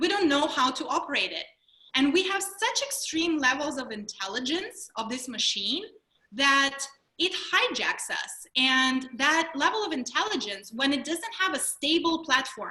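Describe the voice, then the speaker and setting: A woman with a Russian accent uses a raised, projected voice at a high pitch, making very wide pitch swings at a moderate pace. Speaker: mindfulness trainer and speaker. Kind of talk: webinar presentation. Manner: animated.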